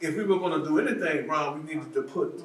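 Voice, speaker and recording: A man speaks at a fairly quick pace with very wide pitch swings. There is audible room echo and noticeable background noise. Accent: American. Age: 70s. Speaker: policing expert panelist. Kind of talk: town hall panel discussion. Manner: repetitive, halting restarts.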